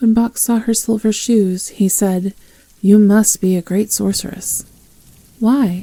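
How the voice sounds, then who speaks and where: Her tone is calm, dark and mellow, and somewhat breathy. This woman speaks at a medium pitch with fairly even intonation. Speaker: ASMR roleplay performer. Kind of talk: audiobook reading. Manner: soft-spoken, calm.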